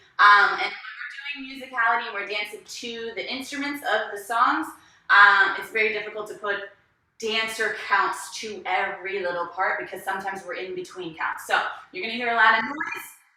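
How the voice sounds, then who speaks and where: Lively intonation and big swings in loudness mark a woman's fairly high voice at a fairly quick pace. Audible room echo surrounds her. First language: not English. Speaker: dance instructor. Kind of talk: online dance class. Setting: live video class. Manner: animated.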